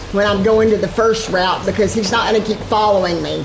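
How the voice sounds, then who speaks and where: Through audible room echo and noticeable background noise, a woman talks at a moderate pace. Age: 60s. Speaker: gaming streamer. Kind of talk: live gameplay commentary. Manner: casual, chatty with repetitions.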